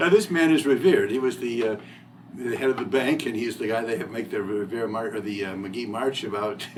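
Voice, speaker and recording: This man speaks fairly quickly with an Ohio accent, at a medium pitch with ordinary pitch variation. Noticeable background noise runs underneath. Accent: Midwestern US (Ohio). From northwest Ohio, Toledo area. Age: 60s. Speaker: local resident interviewee. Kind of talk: oral history interview.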